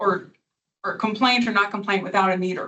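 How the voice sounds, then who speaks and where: Fairly even intonation from a woman at medium pitch. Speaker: attorney. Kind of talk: witness examination at hearing. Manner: fast; loud.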